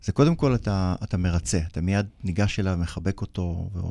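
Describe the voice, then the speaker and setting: On a very clean recording with a silent background, a man speaks in a very deep, low pitch. His tone is dark and mellow, with ordinary pitch variation. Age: 50s. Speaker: bereaved brother, lawyer and mediator. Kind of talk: interview.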